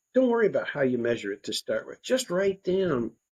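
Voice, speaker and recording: Against a quiet background, a dark, mellow voice with an American accent moves at a moderate pace with very wide pitch swings, in a dry, close sound with no echo. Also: man. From United States. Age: 60s. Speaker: nonprofit co-founder and life coach. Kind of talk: podcast interview. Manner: conversational.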